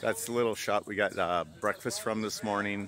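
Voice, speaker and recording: Light background noise sits behind a man's voice. He speaks at a moderate pace, and the sound is dry with no echo. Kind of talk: casual vlog chat. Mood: relaxed, pleased. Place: street. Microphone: phone near.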